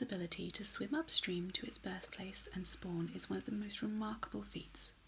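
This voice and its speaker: A soft-spoken woman at a moderate pace. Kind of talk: tarot card reading.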